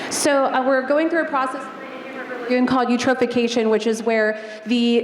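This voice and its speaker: Noticeable background noise runs under speech delivered at a fairly quick pace. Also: woman. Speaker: eco tour company owner. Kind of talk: audience question at Q&A. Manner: loud.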